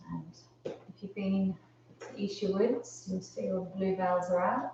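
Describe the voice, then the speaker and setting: A woman speaks with a medium pitch. Noticeable background noise is present. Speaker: yoga teacher. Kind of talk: live online yoga class instruction. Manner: calm, gentle.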